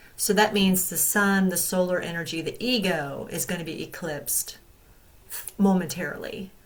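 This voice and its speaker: At a moderate pace and medium pitch, a woman speaks with fairly even intonation, with audible room echo and noticeable background noise. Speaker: astrology and tarot youtuber. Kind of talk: astrology forecast talk. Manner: halting, many fillers.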